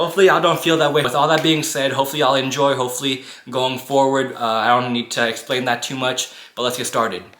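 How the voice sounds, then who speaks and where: A man talks at a very fast pace with fairly even intonation over noticeable background noise. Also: medium pitch for a man. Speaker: YouTuber. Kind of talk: storytime monologue. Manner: monotone at times; casual, conversational.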